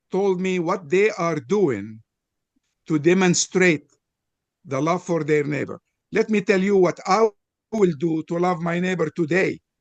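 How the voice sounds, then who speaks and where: Speaking at a fairly slow pace with long, frequent pauses, a man with a high pitch and ordinary pitch variation sounds dry and close, with no echo. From Lebanon (Beirut). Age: 80s+. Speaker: panelist in interfaith discussion. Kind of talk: panel discussion.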